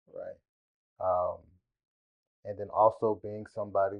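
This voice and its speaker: With a fairly low pitch and monotone, flat intonation, a man speaks at a fairly slow pace. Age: 20s. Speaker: singer-songwriter and creative. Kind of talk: interview conversation.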